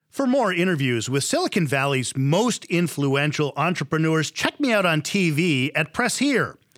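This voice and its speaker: A man talks in an unremarkable speaking voice at a moderate pace. His intonation is lively, and his loudness stays very even. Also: fairly high pitch for a man. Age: 50s. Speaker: TV interviewer. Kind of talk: scripted outro; interview.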